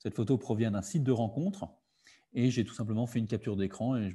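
A man talks at a fairly quick pace with a dark, mellow tone and ordinary pitch variation. His voice is somewhat breathy, and the background is quiet. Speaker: digital literacy workshop facilitator. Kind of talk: online workshop presentation. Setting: video call. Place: home room. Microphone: webcam.

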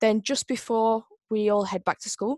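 A woman speaks at a moderate pace over a quiet background, the sound dry with no echo. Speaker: presenter. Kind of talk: introductory presentation. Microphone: video call.

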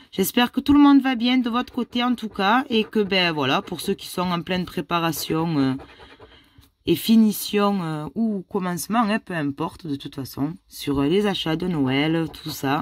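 Woman with very wide pitch swings, fairly slow pace and a dry sound with no echo. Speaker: YouTuber scratch-card vlogger. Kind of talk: casual vlog. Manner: animated.

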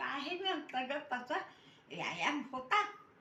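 A raised, projected female voice with ordinary pitch variation. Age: 80s+. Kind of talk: interview answer. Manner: chatty, teasing.

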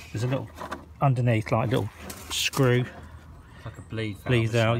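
Noticeable background noise in a dry sound with no echo. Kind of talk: tutorial. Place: street. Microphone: phone near.

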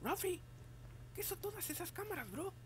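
A squeaky, cartoonish character voice moves at a moderate pace over clear background noise. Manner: slangy, casual.

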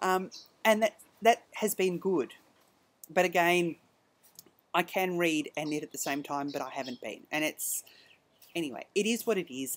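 A woman speaks with an Australian accent and lively intonation. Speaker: knitting podcast host and yarn dyer; knitting podcast host. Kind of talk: casual monologue. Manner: hesitant, many ums. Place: garden. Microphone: webcam.

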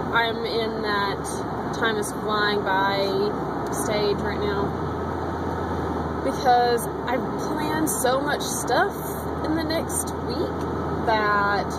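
A woman at a very slow pace, ordinary pitch variation, long and frequent pauses, and loud background noise. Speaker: vlogger. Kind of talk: casual vlog chat. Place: car. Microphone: phone near.

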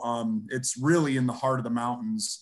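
A quiet background surrounds the voice. A man talks at a moderate pace. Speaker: host introducing a guest. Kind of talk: spoken introduction. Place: home room. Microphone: webcam.

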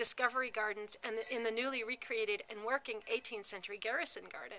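A woman talks at a very fast pace. Her voice sits high, with ordinary pitch variation. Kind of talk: annual report address. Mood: upbeat, promotional. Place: street. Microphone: phone near.

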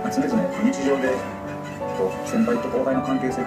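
A man talks over loud music playing in the background. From Osaka. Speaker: comedian and novelist. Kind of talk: interview answer. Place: shop. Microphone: handheld.

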